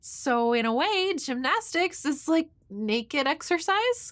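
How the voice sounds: A woman speaks slowly in a put-on character voice, high-pitched and fairly bright in tone, with big pitch swings. The recording is very clean, with a silent background.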